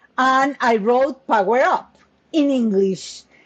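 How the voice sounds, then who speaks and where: Speaking with a Spanish accent, a woman takes a very slow pace. Her pitch is fairly high. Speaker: business coach and author. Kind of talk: interview conversation.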